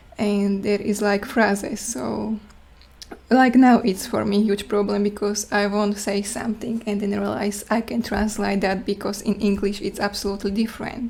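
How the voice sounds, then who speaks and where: Noticeable background noise surrounds a woman speaking in a Slovak accent at a moderate pace. Her pitch is medium and her intonation is flat and monotone. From Slovakia. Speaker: student presenter. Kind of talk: class presentation Q&A. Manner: halting.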